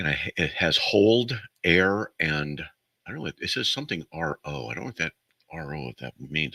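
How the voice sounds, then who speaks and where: A man speaks at a fairly quick pace in a very deep, low pitch with lively intonation and vocal fry. His tone is bright and sharp, and the sound is dry and close with no echo. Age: 60s. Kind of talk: call-in radio show. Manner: rambling, casual.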